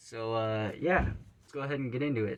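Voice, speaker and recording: A man talks at a fairly quick pace with medium pitch. Noticeable background noise runs underneath. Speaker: YouTuber answering fan questions. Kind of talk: casual Q&A vlog. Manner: casual, filler-heavy.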